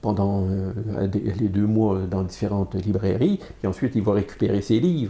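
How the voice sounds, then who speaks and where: A man with a fairly low, somewhat breathy voice and a dark, mellow tone speaks at a fairly slow pace with fairly even intonation and hardly any pauses. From Quebec, Montreal. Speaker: comics artist and publisher. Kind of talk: interview. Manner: hesitant, many fillers and repetitions.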